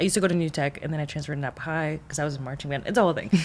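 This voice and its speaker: A woman's very deep, low voice with vocal fry and fairly even intonation. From Mexico. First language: Spanish. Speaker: behavioral health counselor. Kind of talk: podcast interview.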